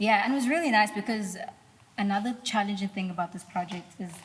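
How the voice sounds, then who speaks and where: A woman with a medium-pitched voice talks fairly quickly with ordinary pitch variation over noticeable background noise. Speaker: singer-songwriter. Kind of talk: casual interview chat.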